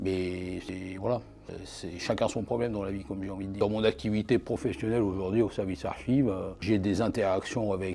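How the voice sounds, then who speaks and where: Over music in the background, a man speaks at a fairly quick pace in a fairly low voice with fairly even intonation. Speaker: archivist. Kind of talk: interview answer.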